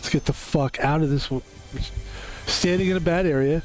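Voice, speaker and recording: A man at a fairly high pitch and fairly quick pace, with ordinary pitch variation and music in the background. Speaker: gaming streamer. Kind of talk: live gameplay commentary. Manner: animated.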